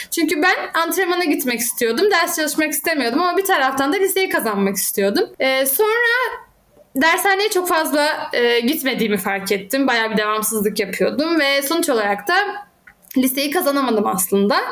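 Over noticeable background noise, the speaker holds a moderate pace and very even loudness while the pitch swings very widely. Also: woman, high pitch for a woman. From Turkey, Izmir. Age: 30s. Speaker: academic and handball coach. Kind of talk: interview conversation.

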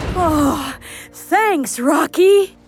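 A put-on character voice, female-sounding, sits at an extremely high pitch. Faint music plays in the background. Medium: audio drama.

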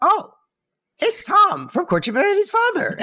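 The speaker uses a put-on character voice. Pitched extremely high, it proceeds at a moderate pace. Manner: imitative, teasing.

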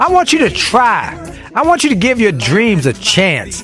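On a very clean, dry and close recording with a silent background and no echo, a man speaks at a moderate pace in an upbeat, energetic tone with very wide pitch swings. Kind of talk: radio host patter. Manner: hyped, upbeat, energetic, catchphrase-laden.

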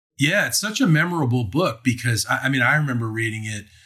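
A man speaks at a medium pitch with an American accent. He has a normal speaking voice and ordinary pitch variation. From Maryland, US. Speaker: podcast host. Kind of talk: casual interview.

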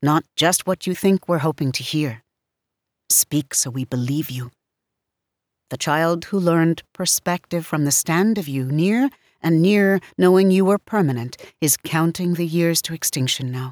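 Here a woman has an unremarkable speaking voice, fairly low in pitch with ordinary pitch variation, at a fairly slow pace. The sound is dry and close with no echo, in a very clean recording with a silent background. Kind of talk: poetry reading, read aloud. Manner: measured, solemn, deliberate.

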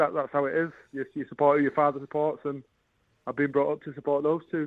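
A man talks very fast in a fairly high pitch with a Yorkshire accent. His intonation stays monotone and flat. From northern England, Bradford. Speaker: professional darts player. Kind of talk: radio interview.

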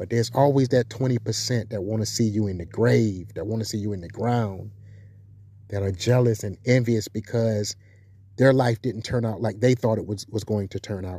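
A man with an American accent speaks at a moderate pace. His fairly low voice is somewhat breathy. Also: fairly even intonation. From South Carolina. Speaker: commentary channel host. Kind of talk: monologue commentary. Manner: emphatic, repetitive.

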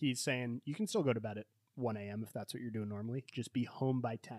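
An unremarkable speaking voice with ordinary pitch variation comes through with a dry, close sound and no echo. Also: man. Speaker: podcast host. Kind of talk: casual book discussion.

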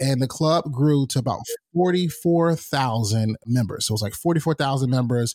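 In an American accent, a man speaks at a moderate pace and medium pitch with ordinary pitch variation and very even loudness. It is a normal speaking voice on a very clean recording with a silent background. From North Carolina, US South. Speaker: podcast host and talent manager. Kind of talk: casual interview chat.

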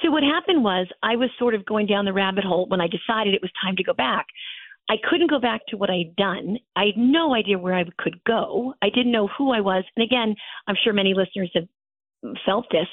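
With an American accent, a woman with an unremarkable speaking voice talks at a fairly quick pace, medium in pitch and lively in intonation. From New Jersey. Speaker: founder of a women's networking organization. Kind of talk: interview conversation.

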